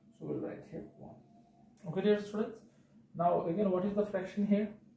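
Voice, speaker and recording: A man speaks with a dark, mellow tone. Audible room echo surrounds his voice. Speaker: maths teacher. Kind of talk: tutorial.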